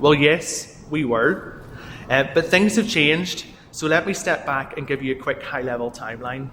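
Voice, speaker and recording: Speaking in a Northern Irish accent, a man keeps a moderate pace. His pitch sits fairly high, with ordinary variation. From Northern Ireland. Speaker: software company executive. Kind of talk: keynote talk.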